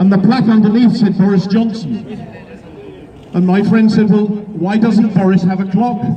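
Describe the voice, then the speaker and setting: A man speaks at a moderate pace in a high pitch, with monotone, flat intonation and very even loudness. Audible room echo and noticeable background noise surround him. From Wales. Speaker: event compere at political rally. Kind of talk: speech to rally audience with joke.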